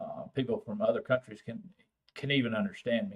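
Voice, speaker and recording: A man talks at a fairly quick pace with a strong Texan accent. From Texas, San Antonio. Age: old. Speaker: vaping channel host. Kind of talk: live stream chat with viewers. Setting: live stream. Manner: casual, halting with fillers.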